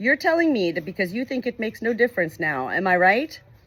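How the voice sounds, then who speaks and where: A put-on character voice, fairly high and hoarse, races along at a very fast pace. Its pitch swings very widely. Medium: read story.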